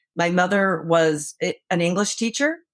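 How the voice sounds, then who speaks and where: A woman has an ordinary speaking voice, pitched fairly low, with ordinary pitch variation. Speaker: author and former prosecutor. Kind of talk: interview.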